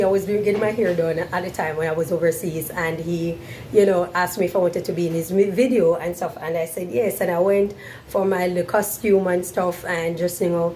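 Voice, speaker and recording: Fairly quick, fairly low-pitched female speech over noticeable background noise. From Jamaica, Montego Bay. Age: 40s. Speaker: vlogger. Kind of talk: Q&A monologue to camera.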